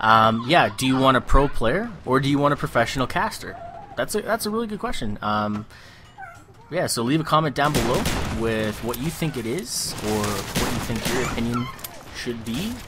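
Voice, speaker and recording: Noticeable background noise sits behind a man with a Canadian accent and a medium pitch. He talks at a moderate pace with lively intonation. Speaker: gaming commentator. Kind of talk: gameplay commentary. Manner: casual, rambling with fillers.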